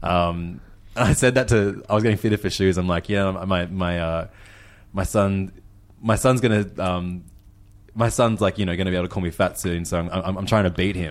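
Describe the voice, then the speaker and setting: On a very clean recording with a silent background, a man with an Australian accent speaks at a moderate pace, very deep and low in pitch, with fairly even intonation. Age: 30s. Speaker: food podcast host and DJ. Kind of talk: casual chat.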